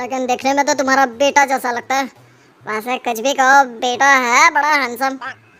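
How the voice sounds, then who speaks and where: A woman puts on a cartoonish character voice, high in pitch and at a moderate pace. Her intonation stays monotone and flat. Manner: rough, blustering.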